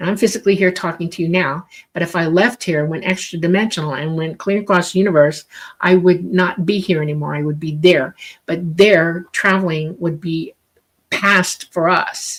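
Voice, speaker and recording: At a moderate pace, an ordinary speaking voice carries fairly even intonation. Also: woman, fairly low pitch for a woman. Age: 60s. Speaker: UFO experiencer and author. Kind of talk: interview. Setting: live radio show.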